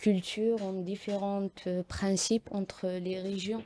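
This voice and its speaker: A woman at medium pitch with a dark, mellow tone and very slow pace, on a very clean recording with a silent background. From Algeria, Kabylie. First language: Kabyle (Tamazight) (speaking French). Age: 20s. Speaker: poet and activist. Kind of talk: radio interview. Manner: hesitant, many fillers.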